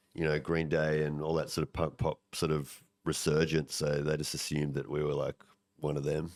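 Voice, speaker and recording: With an Australian accent, a man speaks in a very deep, low pitch at a moderate pace, his loudness very even and his intonation monotone and flat. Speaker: punk rock singer. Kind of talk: casual chat.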